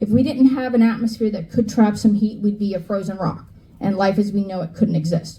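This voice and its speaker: Fairly quick and somewhat breathy, a woman's dark, mellow voice carries audible room echo. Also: medium pitch for a woman, ordinary pitch variation. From New York / New Jersey area. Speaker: climate educator. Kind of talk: lecture. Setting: stage with audience. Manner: animated.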